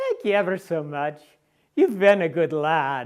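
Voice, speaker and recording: A breathy, put-on character voice at a middle pitch. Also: very clean recording, silent background. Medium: stage play.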